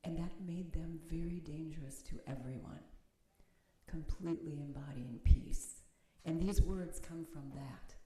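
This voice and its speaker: A woman with an American accent speaks fairly slowly at a fairly low pitch, with a somewhat breathy, dark, mellow tone and fairly even intonation. Her loudness swings widely, and the room echo is audible. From United States. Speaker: minister and meditation teacher. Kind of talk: sermon; guided meditation. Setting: chapel with audience, streamed on video call. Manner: halting. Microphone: too quiet for online listeners.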